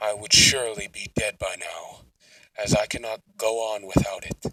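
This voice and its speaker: Using a put-on character voice, a man projects a raised, menacing delivery at an extremely high pitch and a fairly slow pace. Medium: solo performance. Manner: cold, menacing.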